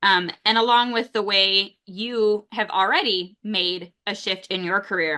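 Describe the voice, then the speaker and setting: The speaker has a normal speaking voice and moves at a fairly slow pace with hardly any pauses. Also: woman, medium pitch for a woman. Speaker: university career development director. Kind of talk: interview host questions.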